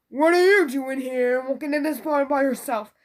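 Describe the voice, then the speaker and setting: A put-on, female-sounding character voice, high in pitch, at a moderate pace. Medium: read story.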